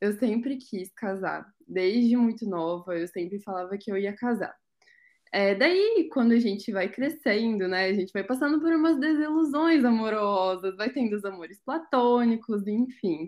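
A woman speaks in an unremarkable speaking voice, fairly high in pitch. Her pace is fairly slow and her intonation lively. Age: 20s. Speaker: wedding blogger, psychology student. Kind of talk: casual chat.

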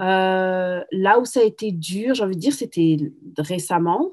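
This woman's voice sits at a fairly low pitch. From France, Paris. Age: 30s. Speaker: single mother, entrepreneur. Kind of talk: testimony.

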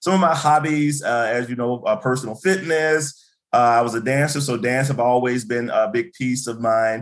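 A man with an American accent has an ordinary speaking voice, a medium pitch and ordinary pitch variation. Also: moderate pace. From US South, Birmingham, Alabama. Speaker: university administrator and educator. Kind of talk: interview.

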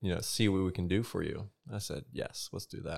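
Very deep and low, a man's voice moves at a moderate pace with a Southern US accent. The recording is very clean, with a silent background. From South Carolina. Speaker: navy nuclear electrician. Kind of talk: casual chat.

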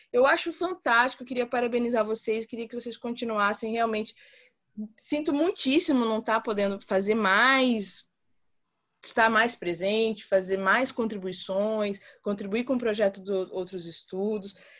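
An ordinary speaking voice at a moderate pace, with ordinary pitch variation against a quiet background. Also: woman, fairly high pitch for a woman. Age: 30s. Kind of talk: group discussion. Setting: video call.

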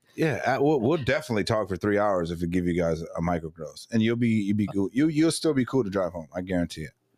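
A fairly low-pitched man at a very fast pace, with very wide pitch swings and hardly any pauses, in a very clean recording with a silent background. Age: 30s. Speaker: podcast host and guest. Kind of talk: casual chat.

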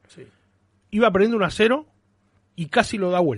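A man against a quiet background. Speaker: football fan radio co-host. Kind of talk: casual sports talk radio. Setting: studio.

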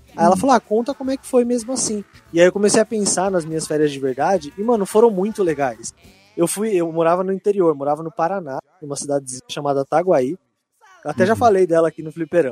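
With music in the background, a man talks at a very fast pace in a high pitch and lively intonation, the sound dry and close with no echo. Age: 20s. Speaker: podcast co-host. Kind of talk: casual chat.

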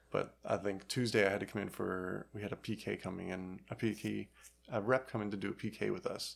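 A man's fairly low voice with vocal fry at a fairly quick pace. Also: fairly even intonation. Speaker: retail employee and outdoor enthusiast. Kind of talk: casual chat.

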